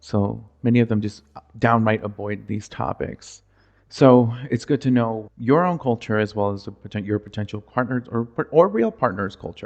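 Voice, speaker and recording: At a moderate pace, a man with an American accent talks at a medium pitch with ordinary pitch variation against a quiet background. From United States, Mexican-American upbringing. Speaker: podcast host. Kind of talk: solo podcast monologue. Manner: loud and expressive.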